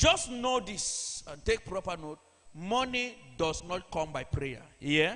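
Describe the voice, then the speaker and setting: The voice is raised and projected, moving very slowly with very wide swings in pitch and big swings in loudness. Noticeable noise sits in the background. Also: man, high pitch for a man. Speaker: church preacher. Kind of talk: sermon delivered to a congregation.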